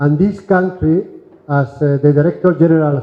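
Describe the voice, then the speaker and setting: Speaking with a Spanish accent, a man uses a fairly high pitch and ordinary pitch variation. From Spain. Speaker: diplomat, EU ambassador. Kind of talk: formal speech at event. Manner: halting.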